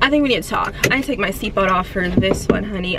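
A woman, with light background noise and a dry sound with no echo. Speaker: fitness vlogger. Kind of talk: casual vlog chat. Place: car. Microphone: phone near.

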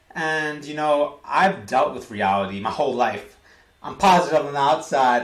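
Audible room echo surrounds a man with an American accent who speaks at a fairly high pitch and a moderate pace, his tone animated and his intonation lively. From United States. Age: 20s. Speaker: vlogger. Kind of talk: vlog monologue. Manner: repetitive. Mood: emotional, candid about struggles. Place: home room. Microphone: webcam.

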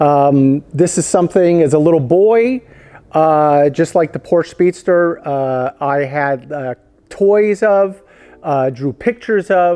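The voice has a dark, mellow tone and moves at a very slow pace. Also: man, ordinary pitch variation. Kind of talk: casual tour commentary.

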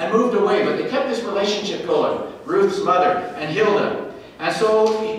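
The text is simply read aloud in a plain way.

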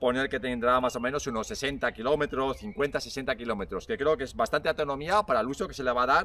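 Dry sound with no echo, a man at a moderate pace. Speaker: bike reviewer. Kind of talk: product review talk to camera. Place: forest.

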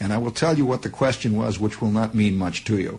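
A man speaks in a somewhat breathy voice. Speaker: radio broadcaster telling a personal story. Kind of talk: radio monologue, storytelling. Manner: conversational, digressive, wry. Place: studio. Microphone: old recording.

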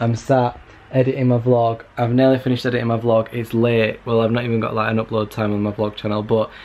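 A very fast, monotone, flat-sounding man's voice over music in the background. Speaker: vlogger. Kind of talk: casual vlog chat. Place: home room. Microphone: webcam.

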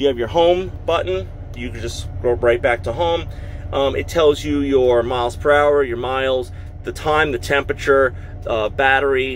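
At a moderate pace, the speech carries lively intonation over light background noise. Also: man. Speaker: truck driver reviewer. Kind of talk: tutorial. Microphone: phone near.

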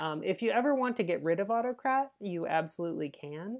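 The woman's intonation is lively and her pace moderate. The background is quiet. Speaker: teacher or trainer. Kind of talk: tutorial. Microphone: webcam.

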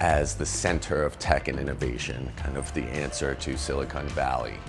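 Clear music sounds behind a man speaking at a moderate pace. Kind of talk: interview answer. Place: bar.

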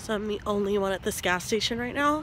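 A woman at a fast pace and medium pitch, lively in intonation, against clear background noise

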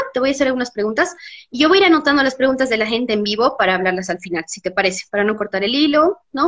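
Her high-pitched voice carries lively intonation as the woman speaks. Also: quiet background. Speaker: interviewer. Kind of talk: interview host introduction. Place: home room. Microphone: video call.

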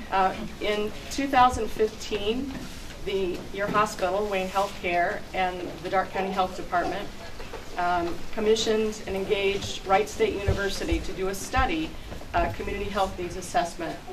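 Over noticeable background noise, a woman with an American accent speaks. Her pace is moderate and her intonation fairly even. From US Midwest. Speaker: chamber of commerce president. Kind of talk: public speech. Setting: outdoors. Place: garage. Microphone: camera far.

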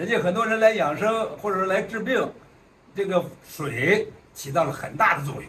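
A high-pitched man at a moderate pace, lively intonation, light background noise. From Chengde, Hebei, China. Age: 70s. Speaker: retiree on wellness stay. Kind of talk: interview answer. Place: home room.

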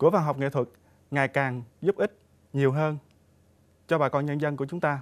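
Pausing long and often, a man speaks at a fairly high pitch with fairly even intonation. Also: moderate pace. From Trà Vinh, Mekong Delta, Vietnam; Vietnam. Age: 30s. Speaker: parliamentary candidate, arts association official; candidate. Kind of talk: campaign speech. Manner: formal. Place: studio.

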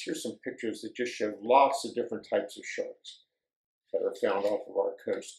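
A man against a quiet background, with audible room echo. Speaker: nature educator. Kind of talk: educational talk for children. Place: studio.

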